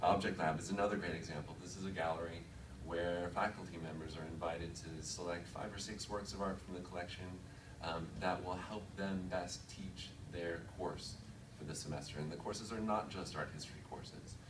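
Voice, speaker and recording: A man speaks with a very deep, low pitch at a fairly quick pace, his intonation fairly even. Noticeable background noise runs underneath. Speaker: museum digital initiatives manager. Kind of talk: conference presentation. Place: meeting room. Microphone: podium.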